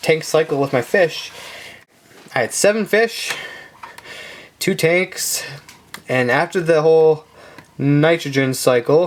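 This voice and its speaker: Mumbling at a very slow pace with long, frequent pauses, a man speaks in a fairly high pitch with ordinary pitch variation. His loudness stays very even, and noticeable background noise runs underneath. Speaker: aquarium hobbyist youtuber. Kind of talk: tutorial.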